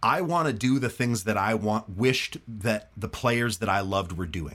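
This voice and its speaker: The speaker sounds animated, with lively intonation at a moderate pace on a very clean recording with a silent background. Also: man. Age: 40s. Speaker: studio bass player and online music educator. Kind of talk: casual interview chat.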